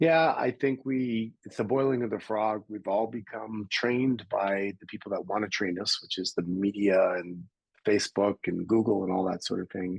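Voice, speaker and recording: At a moderate pace, a man with a plain, everyday voice speaks at a fairly low pitch, his loudness swinging widely. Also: ordinary pitch variation. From Canada. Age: 60s. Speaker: personal development coach and entrepreneur. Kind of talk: interview.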